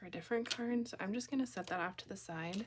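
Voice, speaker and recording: Here a woman speaks with a Minnesota accent. Her intonation is lively. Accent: Upper Midwest (Minnesota) American. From Minnesota, US. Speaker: card-making crafter, kindergarten teacher. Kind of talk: crafting tutorial. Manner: casual, chatty.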